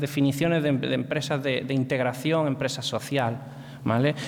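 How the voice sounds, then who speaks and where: A man speaks in a room with an audible echo. Noticeable background noise runs underneath. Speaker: presenter on social economy. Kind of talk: lecture. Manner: slowed down deliberately; hesitant, many fillers.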